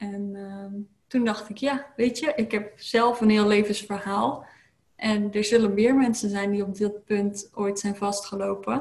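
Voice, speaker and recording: A woman talks fairly slowly at a medium pitch, her intonation fairly even. Her voice is somewhat breathy. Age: 30s. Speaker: lifestyle coach. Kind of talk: interview. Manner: hesitant, many filler sounds.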